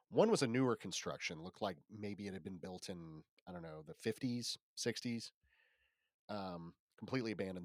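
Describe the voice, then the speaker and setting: With a plain, everyday voice, a man speaks at a moderate pace. His pitch is fairly low and his intonation lively. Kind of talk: casual chat and storytelling. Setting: remote recording from Los Angeles.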